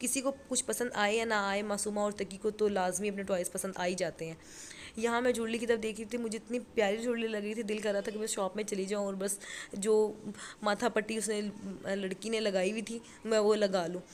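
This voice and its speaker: The voice sounds strained, with monotone, flat intonation. The pace is moderate. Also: woman, fairly high pitch for a woman. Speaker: family vlogger. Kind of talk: vlog voice-over narration. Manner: strained, struggling to speak.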